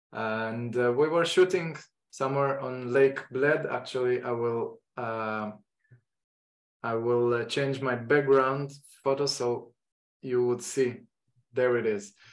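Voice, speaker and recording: With an Israeli accent, a man speaks at a medium pitch and a fairly slow pace, his intonation fairly even and broken by long, frequent pauses. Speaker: photography teacher. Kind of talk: online lecture introduction. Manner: halting.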